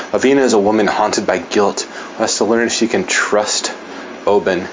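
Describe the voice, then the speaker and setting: Noticeable background noise beneath a man's fairly low pitch, moderate pace and ordinary pitch variation. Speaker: podcast host and fantasy author. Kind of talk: casual interview.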